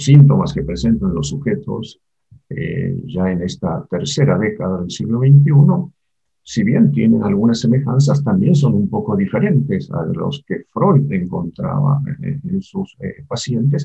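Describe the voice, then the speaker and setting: His fairly high voice marked by vocal fry and very wide pitch swings, a man speaks at a fairly slow pace. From Argentina. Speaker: psychoanalyst and university lecturer. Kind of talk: interview.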